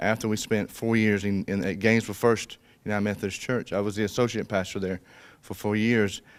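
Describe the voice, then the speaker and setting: With a South Georgia accent, a man talks at a very fast pace and a fairly low pitch with fairly even intonation, on a very clean recording with a silent background. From South Georgia, US (Colquitt, Miller County). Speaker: pastor. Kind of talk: casual interview chat. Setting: church stage, video recording.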